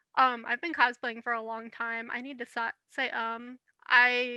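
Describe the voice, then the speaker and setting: The voice is soft-spoken with a bright, sharp tone and monotone, flat intonation. It moves at a moderate pace in a dry, close sound with no echo. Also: woman. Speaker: cosplayer and podcast co-host. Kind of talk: casual chat.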